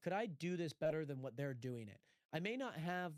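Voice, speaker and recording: A man's fairly high voice with lively intonation at a moderate pace, dry and close with no echo. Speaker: aspiring sports commentator; streamer.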